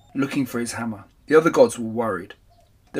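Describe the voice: Reading aloud, plainly done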